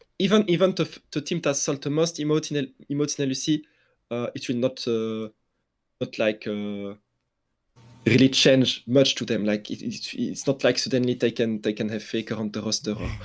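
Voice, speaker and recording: A man speaks in a French accent at a medium pitch. His intonation is lively and his pace moderate. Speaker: esports journalist. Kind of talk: casual interview. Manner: halting, many fillers and restarts.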